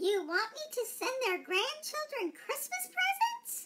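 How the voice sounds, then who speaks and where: In a put-on character voice, a female-sounding speaker talks at a fairly slow pace with an extremely high pitch. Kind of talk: customer service phone greeting.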